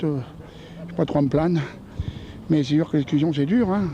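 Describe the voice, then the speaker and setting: This man talks fairly quickly, his fairly high voice rising and falling with ordinary pitch variation. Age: 60s. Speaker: retired passer-by in street interview. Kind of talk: vox pop street interview. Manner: hesitant, many fillers.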